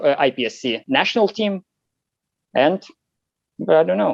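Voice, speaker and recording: His delivery comes at a moderate pace. This man's pitch swings very widely, and the sound is dry and close with no echo. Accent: Lithuanian. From Lithuania. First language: Lithuanian. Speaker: competition shooter. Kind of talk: interview. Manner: halting, many fillers.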